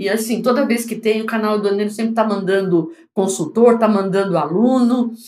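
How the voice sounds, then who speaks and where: A woman with a fairly high pitch and a dark, mellow tone, at a fairly quick pace with hardly any pauses and ordinary pitch variation, amid audible room echo. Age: 60s. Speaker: foreign trade consultant and teacher. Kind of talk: interview.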